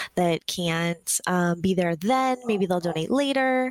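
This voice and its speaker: A woman talks at a moderate pace in an ordinary speaking voice with lively intonation. The recording is very clean with a silent background, and the sound is dry and close with no echo. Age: 30s. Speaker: podcast co-host, social media coordinator. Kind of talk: casual chat.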